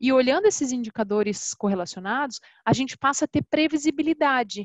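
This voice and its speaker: A woman's voice moves at a moderate pace, its pitch varying in an ordinary way. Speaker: customer success specialist. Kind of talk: webinar presentation. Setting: online webinar.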